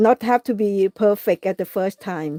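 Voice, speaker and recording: A woman speaks with a non-native accent at a medium pitch, her pitch varying in an ordinary way. The sound is dry and close with no echo, and music plays in the background. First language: not English. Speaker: craft livestreamer. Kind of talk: live craft tutorial. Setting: live stream. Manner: halting, many fillers.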